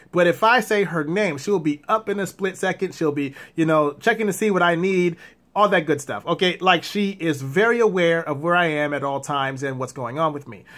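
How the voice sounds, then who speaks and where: On a very clean recording with a silent background, a man with a high voice talks at a fairly quick pace, with ordinary pitch variation and hardly any pauses. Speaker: blind vlogger with guide dog. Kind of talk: casual vlog monologue. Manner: fast.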